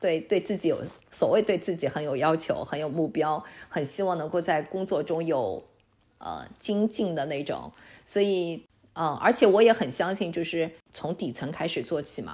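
This is a normal speaking voice, moving at a moderate pace with lively intonation. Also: woman. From China. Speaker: online Chinese teacher and immigrant. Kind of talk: podcast interview.

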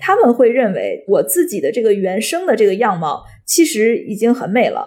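Her pitch is high, and it swings very widely. The woman talks at a fairly quick pace. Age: 30s. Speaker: podcast co-host, company founder. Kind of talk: casual podcast conversation.

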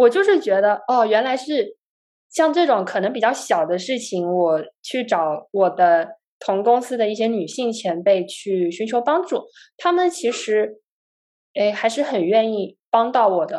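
At a fairly slow pace, a woman speaks at a fairly high pitch with very wide pitch swings. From China, Guangzhou. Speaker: software engineer and startup founder. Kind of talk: casual chat.

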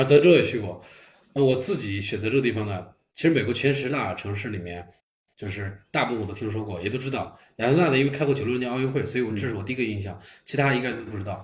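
A man's medium-pitched, somewhat breathy voice at a very fast pace, with ordinary pitch variation and audible room echo. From Beijing, China. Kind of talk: casual chat. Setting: living room gathering at host's home.

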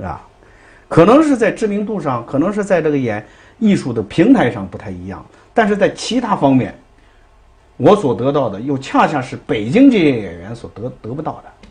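A man at a moderate pace, with vocal fry, very wide pitch swings and big swings in loudness. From Dalian, northeast China. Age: 50s. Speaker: Peking opera performer and theatre director. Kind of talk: interview. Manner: hesitant, many fillers.

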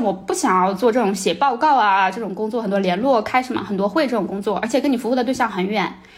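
Talking at a very fast pace, a woman's voice makes very wide pitch swings. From China. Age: 30s. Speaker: former NGO worker in Africa. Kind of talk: casual chat.

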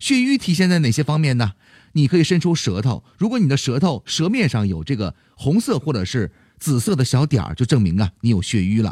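Dry and close with no echo, a man's somewhat breathy voice sits at medium pitch. He talks at a fairly quick pace with very wide pitch swings. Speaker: health podcast host. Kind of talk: health advice talk.

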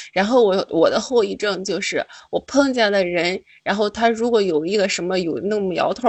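A woman with an unremarkable speaking voice and a medium pitch talks at a fairly quick pace. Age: 20s. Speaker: caller. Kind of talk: casual chat.

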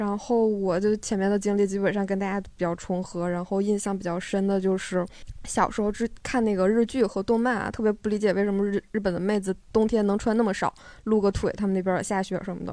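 A woman speaks at a fairly quick pace in a medium pitch with a dark, mellow tone. Her intonation is monotone and flat. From Northeast China, Harbin area. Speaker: live audience member. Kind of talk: casual chat.

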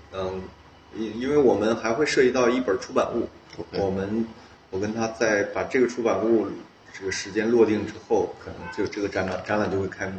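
Over noticeable background noise, the speaker talks at a fairly quick pace with fairly even intonation. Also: man, medium pitch for a man. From Northeast China, Heilongjiang. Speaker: artist. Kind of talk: casual interview. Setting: artist's studio. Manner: halting, many fillers.

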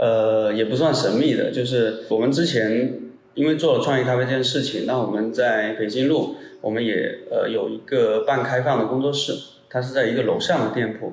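A man talks at a moderate pace with a medium pitch and fairly even intonation. Audible room echo and noticeable background noise come through. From Guangdong, Hakka region. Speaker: coffee business owner. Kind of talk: casual interview.

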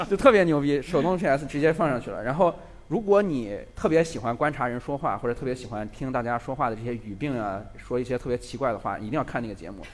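A man talks at a very fast pace with hardly any pauses, his pitch medium. His intonation is lively and his loudness swings widely. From Lanzhou, northwest China. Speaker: video creator. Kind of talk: live talk show chat. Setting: stage with audience.

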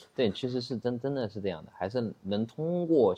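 Speaking at a fairly slow pace, a man with a medium pitch has a normal speaking voice. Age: 30s. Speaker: e-commerce entrepreneur. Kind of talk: casual interview. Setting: studio.

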